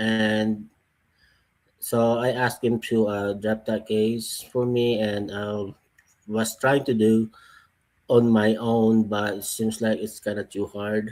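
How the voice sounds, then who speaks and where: Long, frequent pauses break up very slow speech delivered with a Filipino accent. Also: man, medium pitch for a man, very clean recording, silent background. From Philippines, Iloilo. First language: Tagalog or Ilonggo. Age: 40s. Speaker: person giving testimony about a divorce case. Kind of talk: testimony. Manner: halting.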